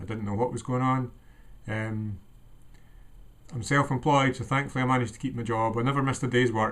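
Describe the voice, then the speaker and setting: Speaking at a fairly quick pace with long, frequent pauses, a man with a Scottish accent keeps a medium pitch and fairly even intonation. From Scotland. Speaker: vlogger sharing personal anxiety story. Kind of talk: personal testimony monologue. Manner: hesitant, many ums.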